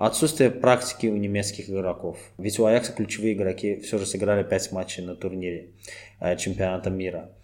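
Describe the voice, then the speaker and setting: Here is a man with an ordinary speaking voice and a fairly low pitch. He keeps a moderate pace and fairly even intonation. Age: 30s. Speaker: football fan guest. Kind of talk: podcast interview.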